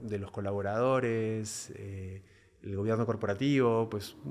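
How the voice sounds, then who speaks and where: In a flat monotone, a man speaks fairly slowly at a fairly low pitch. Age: 40s. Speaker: business executive. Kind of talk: interview. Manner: hesitant, many fillers; calm, even-tempered.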